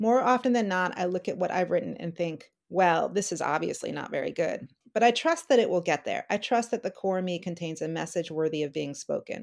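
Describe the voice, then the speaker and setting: An unremarkable speaking voice from a woman, medium in pitch, with lively intonation, a fairly quick pace and hardly any pauses. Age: 50s. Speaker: novelist. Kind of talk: interview.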